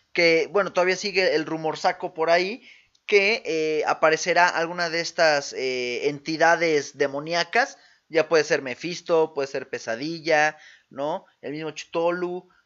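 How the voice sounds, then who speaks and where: With a Mexican accent, a man speaks at a fairly slow pace in a high pitch, using ordinary pitch variation. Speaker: podcast co-host. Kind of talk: casual chat. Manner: animated.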